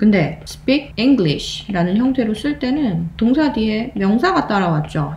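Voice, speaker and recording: Over noticeable background noise, a woman with a fairly high pitch speaks at a fairly slow pace, her pitch swinging very widely. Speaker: English grammar teacher. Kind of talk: video lecture.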